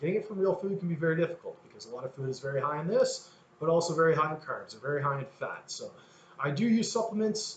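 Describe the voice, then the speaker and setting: The delivery is very fast, with lively intonation. Noticeable background noise runs underneath. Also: man, high pitch for a man. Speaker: fitness coach. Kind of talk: coaching talk to program members.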